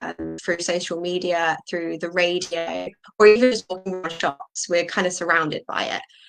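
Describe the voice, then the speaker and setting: Music plays in the background as a woman with a southern English accent speaks at a medium pitch, the sound dry and close with no echo. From southern England. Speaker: ESL teacher. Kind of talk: interview.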